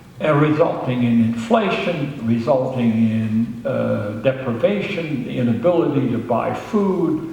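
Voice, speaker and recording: With lively intonation and hardly any pauses, a man speaks over noticeable background noise and audible room echo. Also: medium pitch for a man. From Germany. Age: 80s+. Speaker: Holocaust survivor speaker. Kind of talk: public talk. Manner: hesitant with frequent fillers.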